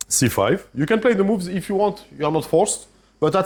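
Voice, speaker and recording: A man speaks with a French accent at a high pitch. His pace is moderate. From France. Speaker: chess grandmaster and trainer. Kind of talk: masterclass lecture with audience interaction. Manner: hesitant, with restarts.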